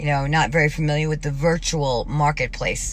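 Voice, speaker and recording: Noticeable background noise surrounds a woman whose voice is very deep and low-pitched. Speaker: vlogger. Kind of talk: personal video diary monologue. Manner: fast; rambling, halting.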